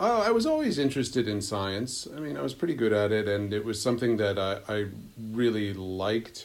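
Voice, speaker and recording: A man with an American accent talks at a fairly quick pace, his pitch fairly low. It is a normal speaking voice with ordinary pitch variation. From Pennsylvania (Pittsburgh, then suburban Philadelphia). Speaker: epidemiologist and climate scientist. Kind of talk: interview.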